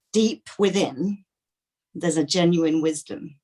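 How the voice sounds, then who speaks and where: A woman's fairly slow speech in an East Midlands accent, fairly low in pitch with ordinary pitch variation. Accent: English Midlands (Leicester). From England, Leicester. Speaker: workshop participant. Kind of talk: Q&A question. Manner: halting.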